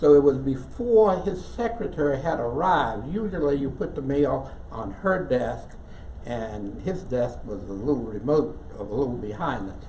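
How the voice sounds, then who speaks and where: A man with an American accent at a moderate pace, lively intonation, audible room echo and noticeable background noise. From West Virginia. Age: 80s+. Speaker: church member storyteller. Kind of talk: personal storytelling to an audience.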